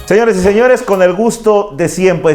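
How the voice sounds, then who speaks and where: Music plays in the background as a man speaks at a moderate pace in a high pitch. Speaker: interview host. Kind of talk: interview question, casual conversation.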